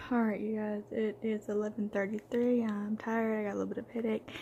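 Against light background noise, a woman speaks in a dark, mellow, somewhat breathy tone with monotone, flat intonation. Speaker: vlogger. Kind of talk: casual vlog chat. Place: home room. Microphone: phone near.

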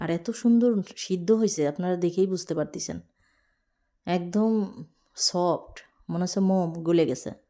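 A woman's dark, mellow voice, fairly low in pitch, with ordinary pitch variation. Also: very clean recording, silent background. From Bangladesh, Magura district. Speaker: village cooking vlogger. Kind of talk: vlog narration. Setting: outdoors in village fields. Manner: animated.

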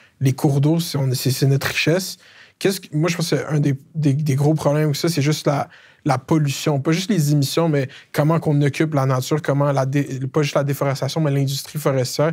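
A somewhat breathy man speaks at a fairly quick pace with a fairly high pitch and monotone, flat intonation. His loudness stays very even over a quiet background. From Quebec, Laval; Quebec. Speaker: comedian interviewer, YouTube host. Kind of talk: political interview. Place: studio. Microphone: lapel.

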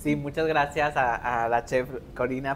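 Light background noise behind a man with a fairly high voice. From Mexico, Linares, Nuevo León; Nuevo León, Mexico. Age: 30s. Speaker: wedding planner; guest. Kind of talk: interview. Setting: live podcast before student audience. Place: classroom. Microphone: lapel.

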